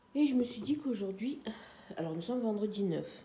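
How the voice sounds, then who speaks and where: Audible room echo surrounds a woman whose voice is somewhat breathy with a dark, mellow tone. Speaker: craft vlogger. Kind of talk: casual vlog chat. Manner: hesitant, many fillers.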